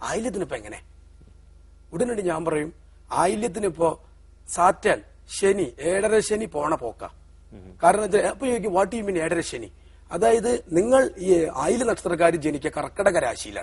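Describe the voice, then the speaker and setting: A man speaks at a high pitch with lively intonation. His loudness swings widely. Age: 40s. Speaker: astrologer. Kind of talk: TV interview. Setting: TV studio.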